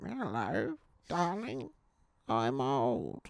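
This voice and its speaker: The speaker uses a put-on character voice. The pitch sits low to middle. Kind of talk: sweet, endearing.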